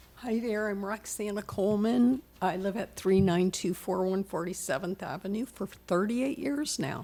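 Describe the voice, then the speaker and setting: With an American accent, a woman talks at a moderate pace with hardly any pauses, her medium-pitched voice dark and mellow in tone and ordinary in its pitch variation. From South Florida (West Palm Beach). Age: 70s. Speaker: resident giving public comment. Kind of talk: public comment at town meeting. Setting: town hall chambers.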